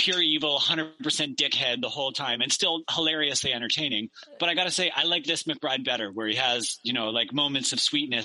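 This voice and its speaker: An ordinary speaking voice from a man with a Canadian accent, fairly high in pitch, with ordinary pitch variation, a fairly quick pace and very even loudness. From Victoria, British Columbia, Canada. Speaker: stand-up comedian. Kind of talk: casual chat.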